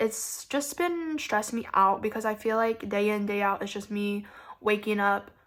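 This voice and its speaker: A woman with an American accent speaks at a fairly slow pace, her fairly high voice bright and sharp in tone, in a very clean recording with a silent background. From US South. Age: 20s. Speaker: beauty vlogger. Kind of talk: casual makeup tutorial chat. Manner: casual, filler-heavy.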